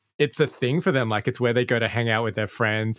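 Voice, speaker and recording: A man speaks with an Australian accent at a medium pitch and with ordinary pitch variation. The sound is dry and close with no echo, against a quiet background. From Australia, Sydney. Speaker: podcast creator and host. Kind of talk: interview conversation.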